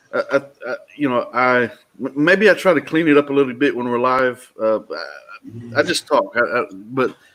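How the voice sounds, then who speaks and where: A man with a Texas accent talks at a medium pitch. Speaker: talk show host. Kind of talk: casual chat. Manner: halting.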